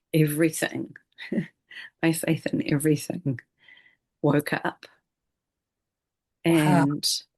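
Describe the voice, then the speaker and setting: A woman with a very deep, low voice speaks at a very slow pace. Her delivery is monotone and flat, broken by long, frequent pauses. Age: 50s. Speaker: retreat leader and trauma-informed healer. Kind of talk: interview answer.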